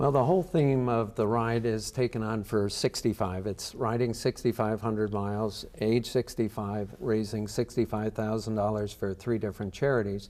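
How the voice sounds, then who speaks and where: This is a normal speaking voice, a man at a fairly low pitch with ordinary pitch variation. He keeps a moderate pace with hardly any pauses. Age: 60s. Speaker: charity cyclist. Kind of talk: interview answer.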